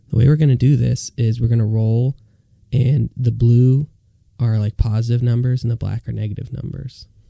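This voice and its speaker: A man speaks at a moderate pace in a medium-pitched, somewhat breathy voice with a dark, mellow tone. His intonation is monotone and flat, and the sound is dry and close with no echo. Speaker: podcast co-host. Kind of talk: casual chat. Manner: flat, bored-sounding.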